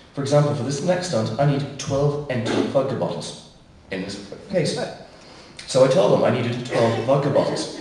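A man's fairly high voice at a moderate pace, ordinary pitch variation, with audible room echo and light background noise. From England. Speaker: sideshow performer. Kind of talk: live stage patter to audience. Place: stage.

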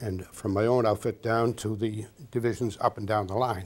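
At a moderate pace, a man with a fairly low, somewhat breathy voice speaks in a monotone, flat intonation. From Massachusetts. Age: 80s+. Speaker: war veteran. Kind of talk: interview answer. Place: studio. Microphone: lapel.

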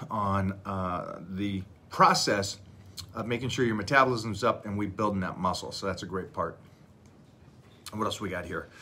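At a moderate pace, a man with a fairly low pitch and a bright, sharp tone speaks with long, frequent pauses. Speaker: fitness coach. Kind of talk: casual live stream chat. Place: home room. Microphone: phone near.

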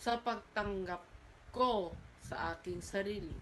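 Very slow pace, fairly even intonation. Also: woman. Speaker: university student. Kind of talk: oral exam presentation. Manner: halting, with frequent self-corrections.

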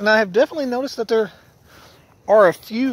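A man's voice in a dry sound with no echo. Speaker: paranormal vlogger. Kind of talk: casual vlog narration. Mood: calm, hushed exploration. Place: open country. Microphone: phone near.

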